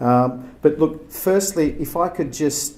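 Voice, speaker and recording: Speaking in an Australian accent, a man has a dark, mellow tone. His intonation is lively and his pace fairly slow. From Turkey, then Australia from age ten. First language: Turkish. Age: 40s. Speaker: agency chief executive, keynote speaker. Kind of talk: keynote speech. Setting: gallery event with audience. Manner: halting, many fillers.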